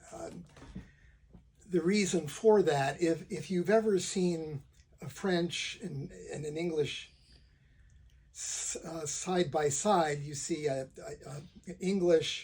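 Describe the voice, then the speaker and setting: A man talks at a high pitch and a very slow pace, leaving long, frequent pauses. His loudness swings widely, while his pitch variation is ordinary. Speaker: lawyer who stutters, talking about stuttering. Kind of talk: casual talk to camera. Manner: stutters, with repetitions and fillers; deliberately slow speech.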